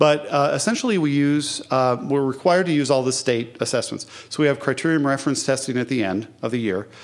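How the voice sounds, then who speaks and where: A man speaks at a fairly quick pace, his medium pitch moving with ordinary variation. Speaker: virtual school principal. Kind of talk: conference talk. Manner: fast.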